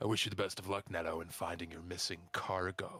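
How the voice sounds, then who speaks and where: Using a put-on character voice, a man speaks at a fairly quick pace. His pitch is very deep and low. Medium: actual play. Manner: polite, measured.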